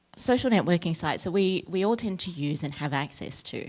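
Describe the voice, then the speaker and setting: A woman speaks with an Australian accent. Her fairly low voice carries lively intonation. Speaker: academic researcher. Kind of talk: lecture.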